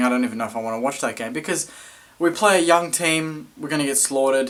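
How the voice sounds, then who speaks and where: A man with an Australian accent speaks at a very fast pace. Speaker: football fan vlogger. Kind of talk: match review vlog.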